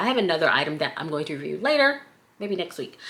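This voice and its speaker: A woman speaks in an American accent with a bright, sharp tone. Her pitch swings very widely. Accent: southern US, comes out at times. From US South. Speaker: accessory maker and product reviewer. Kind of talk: casual product review vlog. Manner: chatty.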